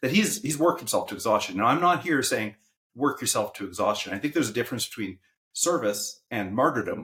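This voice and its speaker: A male voice with a bright, sharp tone, very wide pitch swings and a Canadian accent. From Saskatchewan, Canadian prairies. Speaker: podcast co-host and educator. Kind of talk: casual chat.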